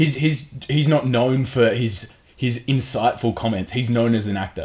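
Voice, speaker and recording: Here is a man with an unremarkable speaking voice at a medium pitch. He moves at a moderate pace, and his pitch varies an ordinary amount. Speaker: podcast co-host. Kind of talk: casual banter podcast chat.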